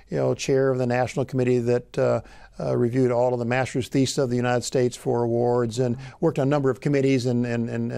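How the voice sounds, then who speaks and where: Over a quiet background, a man with a Midwestern US accent speaks very fast with a dark, mellow tone and fairly even intonation. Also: dry sound with no echo. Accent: US Midwest. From Illinois. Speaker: agricultural economics professor. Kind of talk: oral history interview. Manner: halting. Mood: warm, reflective, occasional smiles. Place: studio. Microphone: lapel.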